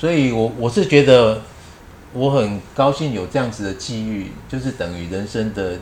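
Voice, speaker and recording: A man with a Taiwanese accent speaks at medium pitch with ordinary pitch variation. His pace is moderate, and audible room echo surrounds him. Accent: Taiwanese Mandarin. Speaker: retired teacher and running group leader. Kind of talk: casual interview chat.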